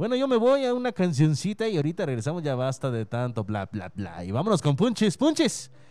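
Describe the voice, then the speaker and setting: A man's dark, mellow voice with very wide pitch swings, in a very clean recording over a silent background. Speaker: local radio host. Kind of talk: casual radio show chat. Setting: radio studio.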